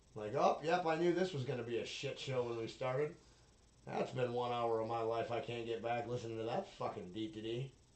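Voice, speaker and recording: A man with an unremarkable speaking voice talks at a fairly quick pace, his pitch medium and its variation ordinary. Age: 30s. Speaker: solo podcaster. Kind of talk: casual monologue.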